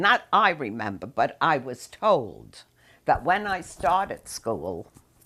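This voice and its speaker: In an American accent, a woman with a very deep, low pitch, vocal fry and a bright, sharp tone speaks very slowly with very wide pitch swings, on a very clean recording with a silent background. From New York City. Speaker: interviewee recounting family history. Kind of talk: oral history interview. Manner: halting.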